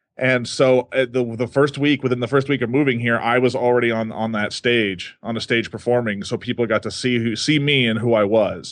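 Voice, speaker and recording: At a fairly quick pace, a man with medium pitch speaks with fairly even intonation. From Texas, Dallas area. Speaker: stage magician. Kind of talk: interview. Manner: halting.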